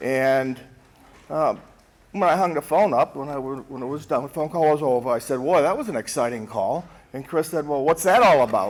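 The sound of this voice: At a moderate pace, a man speaks in a fairly high voice with lively intonation.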